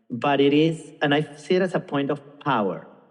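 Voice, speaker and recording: A man talks at a fairly slow pace with a Venezuelan accent. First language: Spanish. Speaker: singer, actor and film director. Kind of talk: podcast interview. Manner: halting, with many fillers and restarts.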